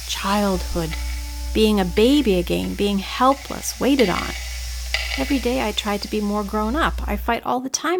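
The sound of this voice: Someone reads in an unforced reading voice.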